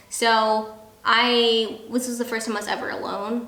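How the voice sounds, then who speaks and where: A woman speaks at a fairly high pitch. There is noticeable background noise and audible room echo. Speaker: military spouse, video creator. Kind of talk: casual chat. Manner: loud.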